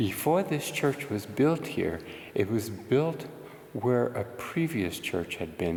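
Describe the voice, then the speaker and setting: A fairly slow pace with audible room echo. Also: man. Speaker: paranormal investigator vlogger. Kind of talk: vlog narration. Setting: outdoors then inside abandoned church.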